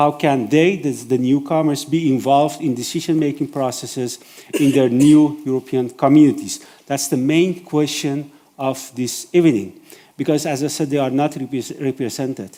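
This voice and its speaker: Speaking with a non-native accent, a man keeps a fairly high pitch and fairly even intonation. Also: moderate pace. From Iran. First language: Persian. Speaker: event moderator. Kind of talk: event moderation. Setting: stage with audience. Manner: hesitant, many fillers.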